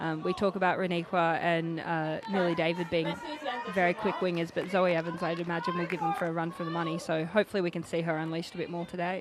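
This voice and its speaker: Speaking at a very fast pace in an Australian accent, a woman keeps a fairly low pitch and monotone, flat intonation. Audible room echo and crowd noise in the background fill the recording. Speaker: rugby player and co-commentator. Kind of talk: live commentary.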